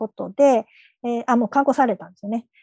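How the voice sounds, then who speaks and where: A woman's high-pitched voice has a dark, mellow tone and a dry, close sound with no echo. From Wakayama, Japan. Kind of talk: panel discussion.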